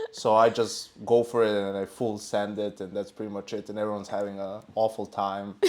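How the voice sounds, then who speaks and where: Speaking at a fairly quick pace with hardly any pauses, a man has a fairly low voice. His intonation stays flat and monotone. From Serbia. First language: not English. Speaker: esports analyst. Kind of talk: casual chat.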